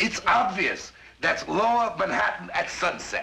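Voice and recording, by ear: Put-on character voice with a bright, sharp tone, vocal fry, big pitch swings and a fairly slow pace. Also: man, high pitch for a man.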